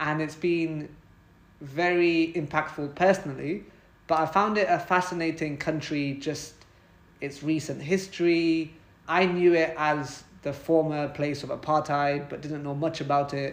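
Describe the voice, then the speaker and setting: A man's fairly high voice with a British accent, fairly slow and flat in a monotone. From Britain. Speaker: podcast host. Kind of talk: conversational interview.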